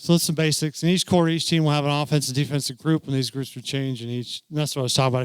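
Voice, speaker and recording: A man's mumbling at a medium pitch and a very fast pace, with fairly even intonation. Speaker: youth football commissioner and coach. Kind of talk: training presentation. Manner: casual, halting.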